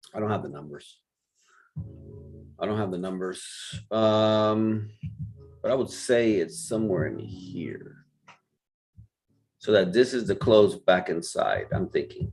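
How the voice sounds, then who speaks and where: A man speaks with a Spanish accent at a fairly slow pace, leaving long, frequent pauses, while music plays in the background. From Puerto Rico. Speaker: forex trading mentor. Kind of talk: live trading stream commentary. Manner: casual, thinking aloud.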